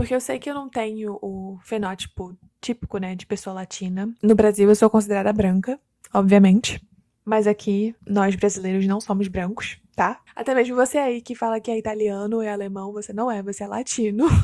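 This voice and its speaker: A woman's dark, mellow voice shows big swings in loudness, with a dry, close sound and no echo. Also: medium pitch for a woman, moderate pace. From Brazil, Curitiba. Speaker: immigrant vlogger. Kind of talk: casual vlog monologue. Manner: conversational, animated.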